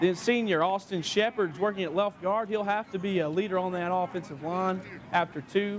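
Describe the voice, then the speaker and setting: A man with a high pitch speaks at a moderate pace with hardly any pauses and fairly even intonation. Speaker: local TV sports anchor. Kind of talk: TV sportscast delivery.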